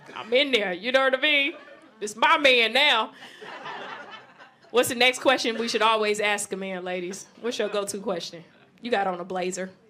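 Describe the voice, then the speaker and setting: At a moderate pace and with long, frequent pauses, a woman with a fairly high pitch talks over noticeable background noise. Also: ordinary pitch variation. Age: 30s. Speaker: comedian. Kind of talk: stand-up. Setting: stage with audience. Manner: loud; animated.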